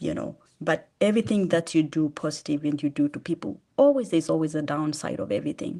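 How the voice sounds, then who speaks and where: A woman with a Kenyan accent speaks at a fairly quick pace in a very deep, low pitch, her tone dark and mellow with vocal fry. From Kenya, eastern. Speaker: charity founder. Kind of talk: testimony. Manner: fast.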